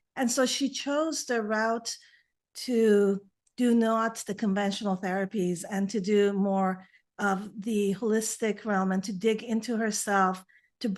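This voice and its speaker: Against a quiet background, a woman with a Persian accent speaks fairly slowly at a fairly high pitch with fairly even intonation. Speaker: naturopathic physician. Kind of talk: interview. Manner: halting.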